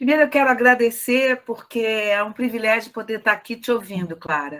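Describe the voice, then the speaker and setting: A woman's fairly high voice, fairly quick, with ordinary pitch variation. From Rio de Janeiro. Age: 60s. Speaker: discussion participant. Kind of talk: casual chat. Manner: halting.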